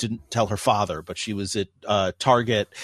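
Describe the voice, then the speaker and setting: A man's ordinary speaking voice, fairly low in pitch with ordinary pitch variation, in a dry, close sound with no echo and a quiet background. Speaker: radio host and philosophy professor. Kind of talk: interview conversation. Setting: studio.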